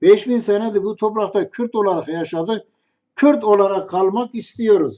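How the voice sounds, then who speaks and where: Talking in a high voice, a man keeps a fairly slow pace. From Kurdish region. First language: Kurdish (speaking Turkish). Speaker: religious commentator. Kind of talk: storytelling monologue.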